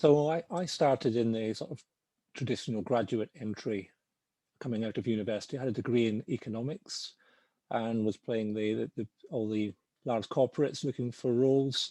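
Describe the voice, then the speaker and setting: A man with a Scottish accent speaks fairly quickly in a dark, mellow tone. The sound is dry and close with no echo, over a quiet background. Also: medium pitch for a man, ordinary pitch variation. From Scotland. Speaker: finance professional. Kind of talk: webinar panel talk. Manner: halting.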